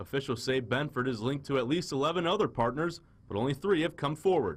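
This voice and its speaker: A plain, everyday voice with lively intonation at a fairly quick pace, on a very clean recording with a silent background. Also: man. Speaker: TV news reporter. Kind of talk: TV news report.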